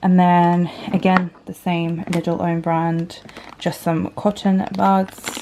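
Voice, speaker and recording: A woman speaks in a flat monotone at a fairly low pitch. Noticeable background noise runs beneath her voice. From Poland. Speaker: vlogger, young mum. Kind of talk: casual haul vlog. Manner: casual, many filler ums.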